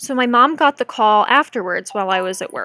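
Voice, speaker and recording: Recorded very cleanly with a silent background and a dry, close sound with no echo, a woman with a bright, sharp tone talks at a moderate pace. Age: 20s. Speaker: streamer sharing cancer story. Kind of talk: live stream storytime. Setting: live stream.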